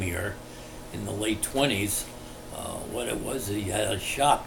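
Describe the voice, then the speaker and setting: Over noticeable background noise and audible room echo, a man speaks at a fairly slow pace in a fairly low pitch. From New Jersey, Englishtown. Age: 80s+. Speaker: local resident interviewee. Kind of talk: oral history interview. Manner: halting with frequent fillers.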